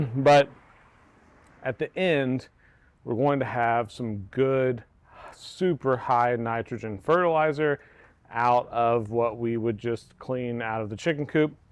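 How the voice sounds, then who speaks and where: This man has an American accent and a medium pitch. His pitch varies in an ordinary way. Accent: southern US accent, commented on by viewers. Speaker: homesteader. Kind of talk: casual tutorial.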